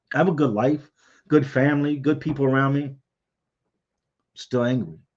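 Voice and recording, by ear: A man talks at a moderate pace in a medium pitch.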